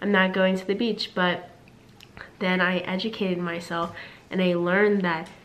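A woman talks in a flat, monotone way. Noticeable background noise is present. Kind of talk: casual talk to camera.

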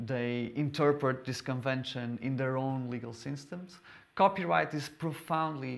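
A man with a Portuguese accent talks with ordinary pitch variation. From Portugal. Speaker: lawyer and lecturer; lawyer, lecturer. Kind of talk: lecture. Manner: halting, frequent repetitions. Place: hall.

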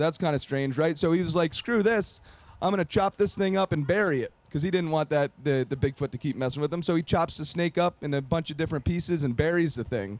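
Talking at a very fast pace with hardly any pauses, a man uses a fairly high pitch and ordinary pitch variation, and the sound is dry with no echo. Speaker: TV show producer and event presenter. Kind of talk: festival talk. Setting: outdoor festival with audience. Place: open country.

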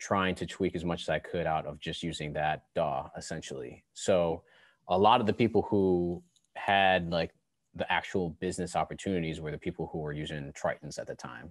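A man speaks in an American accent with a very deep, low pitch. The sound is dry with no echo, over a quiet background. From Buffalo, New York; New York. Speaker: podcast host and musician; interview guest. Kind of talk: casual interview. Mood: relaxed, reminiscing. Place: studio. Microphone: headset.

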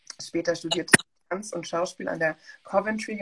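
Somewhat breathy speech moves at a moderate pace. Light background noise sits underneath. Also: woman. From West Germany. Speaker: museum curator and talk host; talk host. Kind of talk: reading a bio introduction; online panel talk. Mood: friendly, smiling. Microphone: video call.

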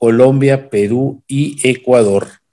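A man with a Mexican accent speaks at a very slow pace and a fairly high pitch, with ordinary pitch variation. The background is quiet. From Mexico. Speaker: webinar host and moderator. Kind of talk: meeting host introduction. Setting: video call. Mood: upbeat, welcoming. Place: home room. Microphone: video call.

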